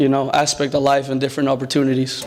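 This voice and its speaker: A man talks at a very fast pace with a Spanish accent. His pitch sits fairly high. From Mexico, Guadalajara, then US from age nine. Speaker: student athlete. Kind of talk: speech at a dinner.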